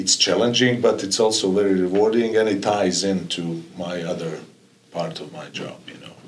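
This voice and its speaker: With audible room echo, a man at a fairly low pitch speaks in big swings of loudness. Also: ordinary pitch variation, moderate pace. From former Yugoslavia. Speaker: college soccer coach. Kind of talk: podcast interview. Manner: halting, many fillers and repetitions.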